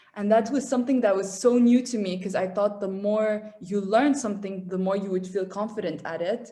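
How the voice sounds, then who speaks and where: With an Arabic accent, a woman speaks at a moderate pace and medium pitch, her somewhat breathy voice dark and mellow in tone with fairly even intonation. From Qatar, raised by Syrian family. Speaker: engineering student abroad. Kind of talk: casual interview chat.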